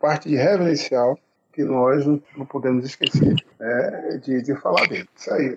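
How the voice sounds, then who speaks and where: At a fairly slow pace, a man talks in a normal speaking voice with ordinary pitch variation. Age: middle-aged. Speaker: pagode musician, band founder. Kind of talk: casual interview.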